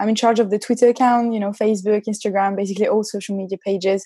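A woman with a French accent has a dark, mellow tone at a fairly high pitch. Her intonation is monotone and flat, against a quiet background. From France, Nantes. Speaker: football club community manager. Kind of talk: casual chat. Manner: halting.

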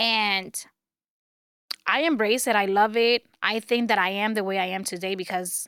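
A woman speaks in a Spanish accent at a moderate pace. Her speech is broken by long, frequent pauses. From Dominican Republic. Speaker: media personality and self-help author. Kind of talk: casual interview.

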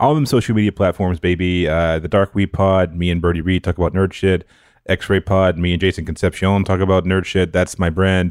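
A man's very deep, low voice at a fairly quick pace, with very even loudness and fairly even intonation. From rural area. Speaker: podcast guest co-host. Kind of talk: casual chat; plugging own podcast.

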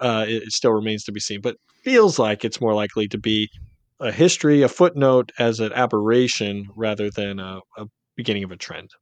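Over a quiet background, a man with an ordinary speaking voice talks at a fairly quick pace and fairly low pitch with ordinary pitch variation and big swings in loudness, the sound dry and close with no echo. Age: 40s. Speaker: elections analyst and newsletter editor. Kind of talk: casual political discussion.

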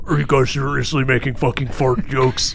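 A man puts on a character voice at a medium pitch, speaking at a fairly quick pace. Background noise is clearly audible.

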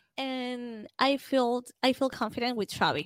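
A woman's voice, dry and close with no echo, in a very clean recording with a silent background. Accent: Spanish. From Venezuela. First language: Spanish. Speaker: football podcaster. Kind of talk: casual chat.

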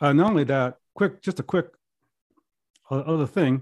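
A plain, everyday voice, fairly quick in pace and ordinary in pitch variation. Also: man. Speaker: author and podcast host. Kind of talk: casual interview. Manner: casual, conversational with filler words.

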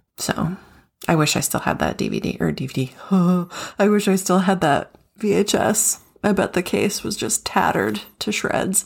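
Vocal fry colors a woman's voice as she talks at a fairly slow pace. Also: medium pitch for a woman, ordinary pitch variation. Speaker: podcast co-host. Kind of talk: casual chat.

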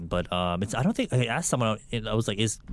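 The clip is a very clean recording with a silent background, where a man with an American accent speaks in a fairly low pitch with lively intonation. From California. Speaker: YouTuber (K-beauty content creator). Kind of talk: casual chat.

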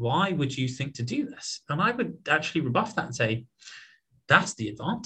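Speaking in a British accent, a man uses a fairly high pitch and a bright, sharp tone at a fairly quick pace. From southern England (Portsmouth). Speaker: tech startup founder and CEO. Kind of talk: interview conversation.

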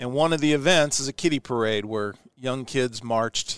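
A man's plain, everyday voice in an American accent, medium in pitch with ordinary pitch variation, at a moderate pace, with a dry, close sound with no echo and a quiet background. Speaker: podcast host, former astronaut. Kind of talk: casual interview. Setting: broadcasting from his hometown.

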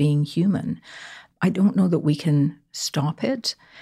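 A somewhat breathy voice with a dark, mellow tone, on a very clean recording with a silent background. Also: woman. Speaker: podcast co-host. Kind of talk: casual chat.

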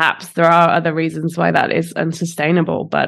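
The delivery is monotone and flat, with vocal fry, at a moderate pace. The recording is very clean with a silent background. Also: woman. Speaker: podcast co-host. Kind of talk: casual chat.

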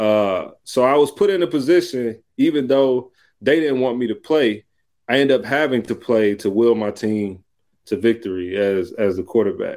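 On a very clean recording with a silent background, a man with a plain, everyday voice speaks at medium pitch with lively intonation in an American accent. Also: moderate pace. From US South, Columbus, Georgia. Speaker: former pro football player, mental health nonprofit founder. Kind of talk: interview. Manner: casual, conversational.

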